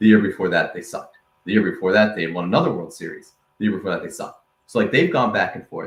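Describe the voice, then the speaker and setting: This man rushes along at a very fast tempo. His intonation sounds lively. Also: fairly low pitch for a man, big swings in loudness. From Rhode Island, US. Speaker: sports podcast host. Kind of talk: casual chat.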